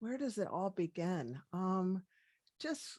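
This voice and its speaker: Bright and sharp in tone, a woman with an American accent uses lively intonation on a very clean recording with a silent background. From US, Washington DC. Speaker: medical doctor. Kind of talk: interview.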